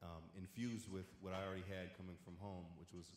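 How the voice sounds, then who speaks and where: Audible room echo surrounds a man speaking at a moderate pace with a fairly low pitch. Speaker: panelist, former student. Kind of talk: panel discussion.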